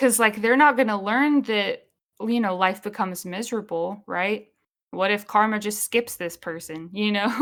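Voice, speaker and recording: An unremarkable speaking voice from a woman at a medium pitch and a moderate pace, with ordinary pitch variation. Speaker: podcast co-host. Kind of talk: casual chat.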